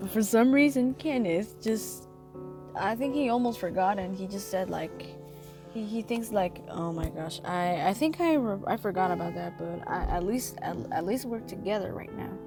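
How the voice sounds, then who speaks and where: Speech comes at a moderate pace. Background music accompanies it. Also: woman. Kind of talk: casual commentary voice-over. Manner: hesitant, rambling.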